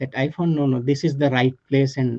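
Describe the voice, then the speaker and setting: A calm, dark, mellow tone. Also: man. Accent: Indian. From India. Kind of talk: interview answer.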